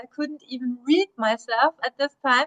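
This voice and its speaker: A woman with a German accent uses a raised, projected voice that is high-pitched, bright, and sharp, with fairly even intonation. She speaks at a fairly slow pace, and the sound is dry and close with no echo. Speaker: history professor. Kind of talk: interview.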